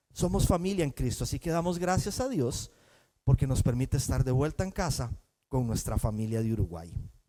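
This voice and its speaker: Very wide pitch swings and a dark, mellow tone come through at a fairly quick pace in a very clean recording with a silent background. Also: man, medium pitch for a man. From Costa Rica. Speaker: pastor. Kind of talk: sermon.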